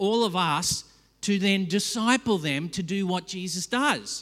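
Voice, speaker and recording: A man with an Australian accent speaks at a high pitch with ordinary pitch variation, in a very clean recording with a silent background. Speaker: pastor. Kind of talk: sermon. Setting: church.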